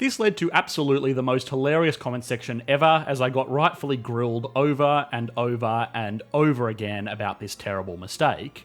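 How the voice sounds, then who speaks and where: A man with an Australian accent talks with hardly any pauses. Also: medium pitch for a man, ordinary pitch variation, fairly quick pace. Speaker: economics YouTube narrator. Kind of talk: scripted narration.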